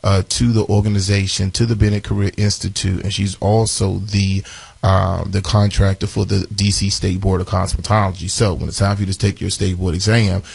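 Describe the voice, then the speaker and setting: Somewhat breathy and fairly low-pitched, a man speaks at a moderate pace with monotone, flat intonation. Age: 40s. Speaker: radio host, beauty school owner. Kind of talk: radio show announcements.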